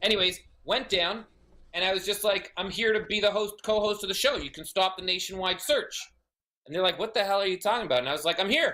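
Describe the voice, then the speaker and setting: Very fast and in a raised, projected voice, a man speaks with a bright, sharp tone and an animated delivery. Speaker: auctioneer and TV host. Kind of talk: casual podcast interview storytelling. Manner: animated, fast, comedic.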